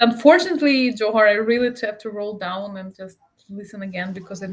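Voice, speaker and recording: A woman with a Russian accent at a fairly quick pace. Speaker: interview guest. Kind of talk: casual conversation. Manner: halting.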